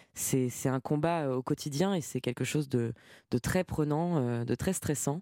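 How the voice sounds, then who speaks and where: Recorded very cleanly against a silent background, a woman's voice has a dark, mellow tone and ordinary pitch variation, with a dry, close sound and no echo. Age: young. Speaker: singer-songwriter and guitarist. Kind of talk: radio interview.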